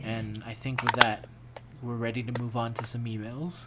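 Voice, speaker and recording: Over noticeable background noise, a man with an American accent speaks at a moderate pace in a medium pitch, his intonation monotone and flat. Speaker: podcast host. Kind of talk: casual podcast chat.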